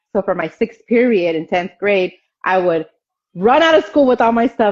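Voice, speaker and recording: A woman's voice at medium pitch, with very wide pitch swings. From Mexico (Oaxaca). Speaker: barber. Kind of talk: interview. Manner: halting.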